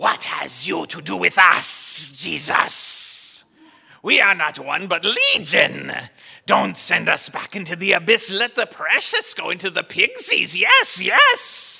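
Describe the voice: A man's put-on character voice with hissing at a fairly slow pace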